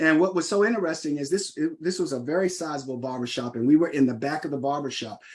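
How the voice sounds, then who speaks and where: With an American accent, a man speaks using ordinary pitch variation against a quiet background. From Washington DC. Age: 60s. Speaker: nonprofit CEO. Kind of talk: keynote speech. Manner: halting with many fillers.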